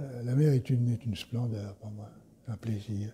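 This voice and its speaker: The voice has a dark, mellow tone and sounds somewhat breathy. It moves at a fairly slow pace. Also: man. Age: 70s. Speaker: fasting retreat participant. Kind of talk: interview. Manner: halting, many repetitions.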